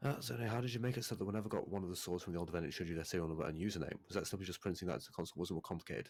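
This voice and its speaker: In a Manchester accent, a man with a very deep, low voice rattles along at a very fast pace with hardly any pauses and ordinary pitch variation. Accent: northern English (Manchester area). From northern England, near Manchester. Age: young. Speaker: game developer. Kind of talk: live Q&A stream. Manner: casual, filler-heavy.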